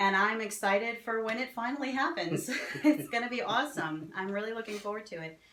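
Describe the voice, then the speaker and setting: A woman with an American accent speaks at a fairly quick pace with lively intonation. Noticeable background noise and audible room echo fill the recording. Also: fairly high pitch for a woman. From New Jersey. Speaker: fantasy author and festival vendor. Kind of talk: casual interview.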